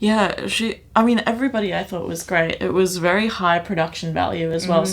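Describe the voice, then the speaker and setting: A woman speaks at a fairly quick pace and fairly low pitch, with ordinary pitch variation, over noticeable background noise. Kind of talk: casual podcast review chat.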